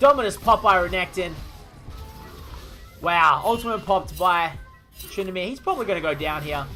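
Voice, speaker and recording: Music in the background behind a man with an Australian accent, high pitch and ordinary pitch variation. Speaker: gaming commentator / shoutcaster. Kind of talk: esports-style game shoutcast commentary. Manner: excited, fast-paced play-by-play.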